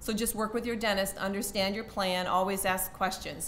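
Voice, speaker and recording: A woman talks at a very fast pace with fairly even intonation. Room echo is audible. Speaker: university HR benefits staff. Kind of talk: presentation. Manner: halting.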